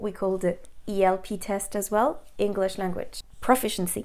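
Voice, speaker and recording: On a very clean recording with a silent background, a woman with a French accent speaks at a moderate pace. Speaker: English teacher and language examiner. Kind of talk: educational talk to camera.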